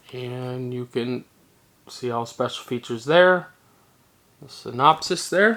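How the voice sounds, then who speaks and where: Long, frequent pauses break up speech delivered at a fairly slow pace. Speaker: movie collector YouTuber. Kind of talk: casual product haul video.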